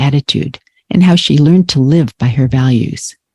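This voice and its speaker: With a dark, mellow tone and lively intonation, a woman speaks somewhat breathily at a moderate pace in a dry, close sound with no echo. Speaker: radio host. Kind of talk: radio show introduction.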